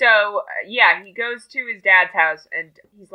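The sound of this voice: The background stays quiet. An unforced reading voice is heard.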